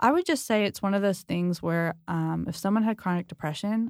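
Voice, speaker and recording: An ordinary speaking voice with ordinary pitch variation moves at a moderate pace. The recording is very clean, with a silent background. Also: woman. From US West Coast, San Diego. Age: 30s. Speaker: marriage and family therapist. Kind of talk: casual chat.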